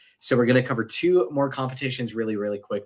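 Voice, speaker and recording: A man talks at a medium pitch. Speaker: podcast host. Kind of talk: casual chat. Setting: live stream. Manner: fast; animated.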